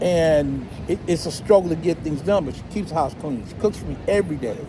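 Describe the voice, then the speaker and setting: A man with an American accent speaks at a fairly quick pace and fairly high pitch, with ordinary pitch variation and big swings in loudness, over noticeable background noise. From California. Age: 70s. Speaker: expat club member. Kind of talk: casual chat. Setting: outdoor cafe by the beach.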